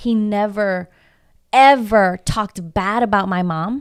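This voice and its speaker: On a very clean recording with a silent background, a woman with a Spanish accent speaks in a fairly high voice with ordinary pitch variation. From Houston, Texas (southwest side), Mexican-American family. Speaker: coach and public speaker. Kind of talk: casual interview chat.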